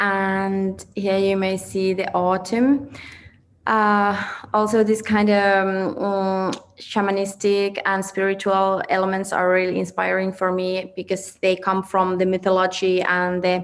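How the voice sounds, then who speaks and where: A woman's medium-pitched, flat, monotone voice at a fairly slow pace, in a Finnish accent. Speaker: fashion designer. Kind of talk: presentation. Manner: halting.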